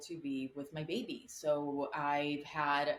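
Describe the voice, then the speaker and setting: A woman speaks with a Spanish accent. Her pitch is very deep and low. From Colombia. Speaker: actress. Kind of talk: interview answer.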